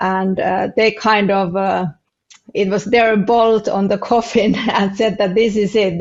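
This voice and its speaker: A woman speaks fairly slowly with a non-native accent. Her medium-pitched voice has monotone, flat intonation. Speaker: family business consultant. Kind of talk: podcast interview. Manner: halting, many fillers.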